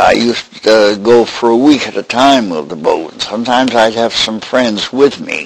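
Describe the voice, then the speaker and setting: Over noticeable background noise, a man speaks at a medium pitch and moderate pace with ordinary pitch variation and hardly any pauses. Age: 90s. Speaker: elderly boat builder. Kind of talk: oral history interview. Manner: halting, with many fillers.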